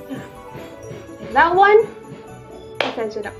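A woman is speaking. Clear music can be heard in the background. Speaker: vlogger. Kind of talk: casual vlog chat. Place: home room. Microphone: phone near.

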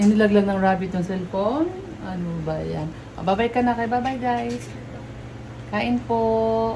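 Speaking at a fairly low pitch and a fairly slow pace, a woman swings widely in pitch and pauses long and often, with audible room echo and noticeable background noise. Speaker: vlogger. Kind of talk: casual vlog chat. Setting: hospital room.

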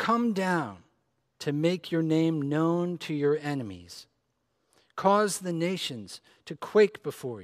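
Very slow speech with ordinary pitch variation against a quiet background. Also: man. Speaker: preacher. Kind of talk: scripture reading. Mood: solemn, measured. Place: church.

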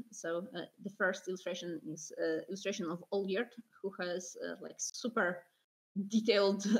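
A woman with a Polish accent, fairly low pitch and a fairly slow pace. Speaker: concept artist. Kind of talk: interview. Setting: video call.

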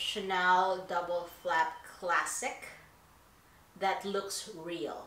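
Noticeable room echo around a woman's voice. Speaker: YouTuber; YouTube style vlogger. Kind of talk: personal confession vlog. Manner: hesitant, many fillers. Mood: candid, reflective. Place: home room.

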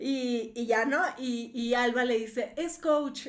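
A woman speaks loudly with a high pitch. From northern Mexico. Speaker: YouTuber commenting on other creators. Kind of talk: live stream commentary reading chat. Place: home room. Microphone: webcam.

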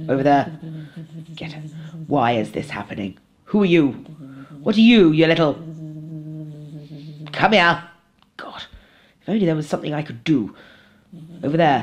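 Delivered at a moderate pace, this is a put-on character voice. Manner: frantic, excitable, shouting.

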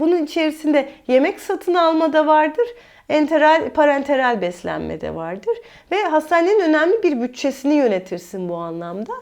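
This woman talks at a moderate pace in a high pitch. Her pitch swings very widely. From Mersin, southern Turkey (Çukurova). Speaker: dietitian. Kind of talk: interview conversation.

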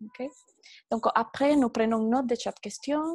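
A woman's fairly even intonation in a dry sound with no echo against a quiet background. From Venezuela. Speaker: particle physicist; conference host. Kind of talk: moderating a webinar. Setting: video call. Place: office. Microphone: earbuds.

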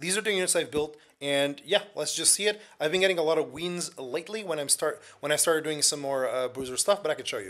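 A man puts on a raspy character voice, fairly high in pitch. He talks at a fairly quick pace. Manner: fast.

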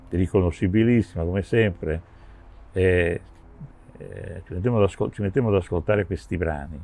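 A man with a very deep, low pitch and a dark, mellow tone speaks at a moderate pace with ordinary pitch variation, big swings in loudness and long, frequent pauses, in a dry sound with no echo. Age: 70s. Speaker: session drummer; interviewee. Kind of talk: interview. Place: garden.

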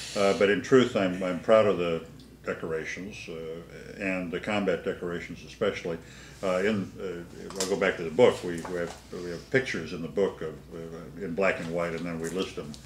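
Light background noise and audible room echo surround a voice with fairly even intonation. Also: man, very deep, low pitch for a man, moderate pace. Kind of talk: interview answer. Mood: proud, reflective. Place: studio.

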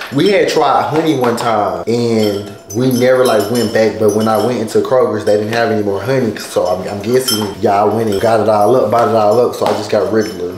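Over noticeable background noise, a man at medium pitch talks at a fairly quick pace with hardly any pauses and fairly even intonation. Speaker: vlogger. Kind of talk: casual vlog chat.

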